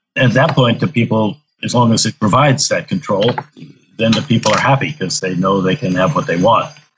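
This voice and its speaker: Lively in intonation, a man speaks at a medium pitch in a somewhat breathy voice. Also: fairly quick pace. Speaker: architecture professor and building researcher. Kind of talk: interview.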